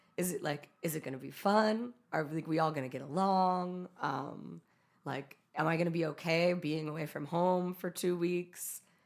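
The speaker has a normal speaking voice with an American accent. The pace is moderate, and the pitch variation is ordinary. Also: woman, fairly low pitch for a woman. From US West (California, Utah). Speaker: photographer and musician. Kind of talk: casual interview chat. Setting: studio.

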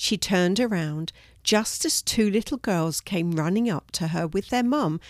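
This recording consists of plain reading aloud.

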